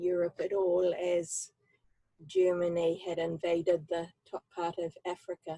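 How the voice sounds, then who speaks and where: In a New Zealand accent, a woman speaks very slowly with a fairly low pitch and a dark, mellow tone. Her intonation is flat and monotone, and the sound is dry and close with no echo. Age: 70s. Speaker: human library storyteller. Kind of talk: personal testimony. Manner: halting, many fillers.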